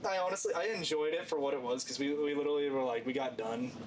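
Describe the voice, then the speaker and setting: A man talks at a very fast clip with lively intonation and a fairly high pitch. The room echoes audibly, and background noise is noticeable. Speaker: hunting podcast co-host. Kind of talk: casual chat. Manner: animated.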